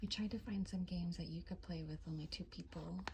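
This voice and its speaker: Someone soft-spoken talks against noticeable background noise. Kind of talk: ASMR tapping and soft-spoken show-and-tell. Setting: home apartment, filming at home.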